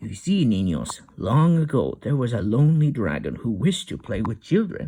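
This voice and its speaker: Put-on character voice from a man, medium in pitch, at a moderate pace. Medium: read story. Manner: warm, gentle.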